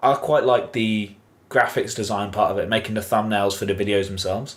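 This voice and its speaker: A man with a southern English accent speaks at a fairly quick pace. His fairly low voice keeps a fairly even intonation. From southern England. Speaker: podcast co-host. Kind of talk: casual chat.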